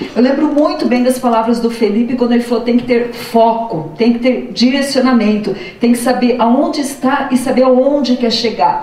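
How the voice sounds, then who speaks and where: Delivered in a southern Brazilian accent, the speech keeps a moderate pace with hardly any pauses, fairly even intonation and very even loudness. Noticeable background noise and audible room echo fill the recording. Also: woman, high pitch for a woman. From southern Brazil, interior of Paraná. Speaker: public school teacher and former education official. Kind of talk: testimony at an info session.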